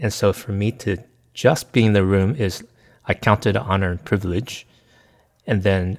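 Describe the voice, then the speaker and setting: On a very clean recording with a silent background, a man speaks in a fairly low pitch. His pace is moderate, with ordinary pitch variation. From US, small town. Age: 50s. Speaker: pastor and consultant. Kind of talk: casual interview.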